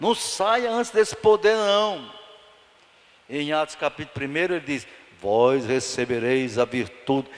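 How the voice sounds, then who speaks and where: A fairly high-pitched man's voice with very wide pitch swings, a fairly slow pace and long, frequent pauses amid noticeable background noise. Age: 70s. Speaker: pastor. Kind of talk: Bible study sermon. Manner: animated.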